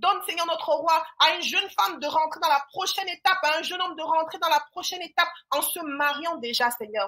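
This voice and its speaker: With a Cameroonian accent, a woman uses a raised, projected voice at an extremely high pitch, talking at a fairly quick pace with hardly any pauses. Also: ordinary pitch variation. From western Cameroon. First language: Yemba (speaking French). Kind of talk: prayer.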